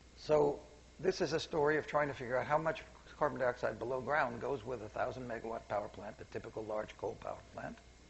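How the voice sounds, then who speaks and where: Here a man talks at a very fast pace with an American accent. His voice sits at a medium pitch and is somewhat breathy. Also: ordinary pitch variation. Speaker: seminar speaker, scientist. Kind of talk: public lecture. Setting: seminar room with audience. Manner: quiet, soft-spoken; halting, self-correcting.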